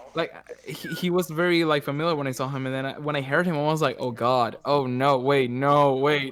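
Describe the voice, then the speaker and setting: Fairly quick and fairly high-pitched, a man speaks with a Spanish accent and fairly even intonation. Noticeable background noise sits behind him. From Venezuela. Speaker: voice actor. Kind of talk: casual chat.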